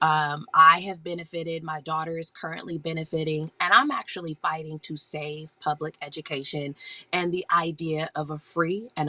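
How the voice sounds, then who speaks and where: A woman speaks at a moderate pace with a very deep, low pitch. Her intonation is fairly even, and there is noticeable background noise. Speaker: homeschool educator and live-stream seller. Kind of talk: casual live-stream chat. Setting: home basement, live stream. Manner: hushed, quiet.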